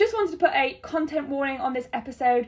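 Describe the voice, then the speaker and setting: Very fast and with lively intonation, a woman speaks in a British accent. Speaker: podcast host. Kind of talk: casual chat.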